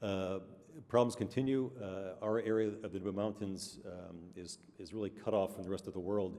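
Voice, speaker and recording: Mumbling in a dark, mellow tone, a man speaks at a fairly low pitch with fairly even intonation. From New York State (Amsterdam, NY). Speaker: doctor and award recipient. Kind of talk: award acceptance speech. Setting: awards dinner stage with audience. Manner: mumbling, halting with many fillers.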